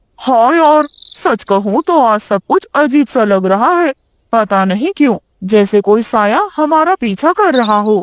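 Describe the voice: This is a cartoonish character voice pitched fairly high. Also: moderate pace.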